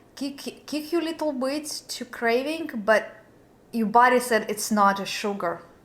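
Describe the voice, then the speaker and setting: With long, frequent pauses, a woman with a high pitch talks at a moderate pace. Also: lively intonation. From Belarus. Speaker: lifestyle vlogger. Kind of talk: casual chat. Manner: halting.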